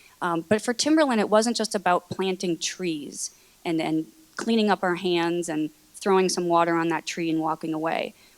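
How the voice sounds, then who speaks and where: A woman's fairly low voice, with ordinary pitch variation, comes across in a dry, close sound with no echo. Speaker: corporate sustainability manager. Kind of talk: panel presentation. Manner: fast.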